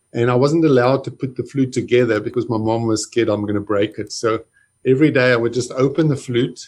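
A man talks at a very fast pace, somewhat breathy, with fairly even intonation. The background is quiet. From South Africa, Johannesburg. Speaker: flautist and composer. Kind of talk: casual interview.

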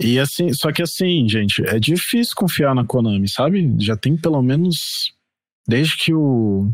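A man talks at a fairly high pitch and a fairly slow pace, his pitch swinging very widely while his loudness stays very even. The recording is very clean, with a silent background. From Brazil, Mato Grosso do Sul (Campo Grande). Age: 30s. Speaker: podcast guest, gamer. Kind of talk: casual chat.

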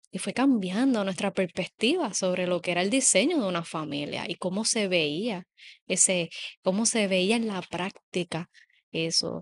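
Here is a woman with a plain, everyday voice, medium in pitch with ordinary pitch variation, at a fairly slow pace. The sound is dry and close with no echo, over a quiet background. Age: 30s. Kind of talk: casual chat.

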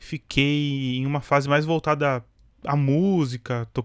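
In a normal speaking voice with fairly even intonation, a man speaks at a fairly high pitch on a very clean recording with a silent background. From Brazil, São Paulo. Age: 20s. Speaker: podcast host. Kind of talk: casual monologue.

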